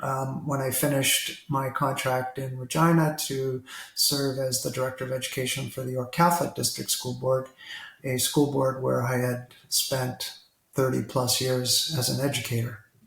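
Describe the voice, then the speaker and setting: A man speaks with a Canadian accent and fairly even intonation. Noticeable background noise runs behind him. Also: medium pitch for a man, moderate pace. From Toronto, Canada. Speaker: retired school district leader. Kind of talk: interview.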